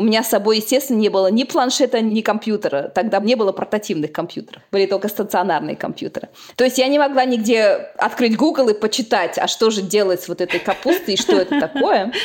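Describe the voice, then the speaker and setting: With lively intonation, a woman rattles along at a very fast pace. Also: fairly high pitch for a woman. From Uzbekistan. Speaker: agricultural scientist. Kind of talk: interview.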